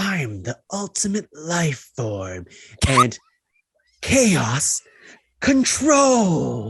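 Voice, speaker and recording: A put-on character voice at middle pitch, very slow, with long, frequent pauses. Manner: cocky, bragging, boastful.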